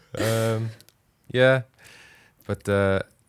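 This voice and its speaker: In a strong Welsh accent, a man talks in a relaxed tone with ordinary pitch variation on a very clean recording with a silent background. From Wales. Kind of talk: casual chat, podcast. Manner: jokey, relaxed.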